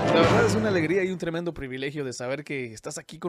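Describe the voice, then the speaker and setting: A man's very fast speech with ordinary pitch variation over music in the background. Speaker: radio announcer. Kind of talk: podcast interview host.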